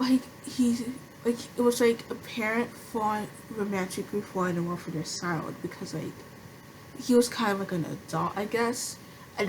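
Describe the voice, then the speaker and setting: There is noticeable background noise as a woman talks. Her pace is moderate, with ordinary pitch variation. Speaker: anime commentary creator. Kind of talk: casual talk to camera. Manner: stuttering, hesitant.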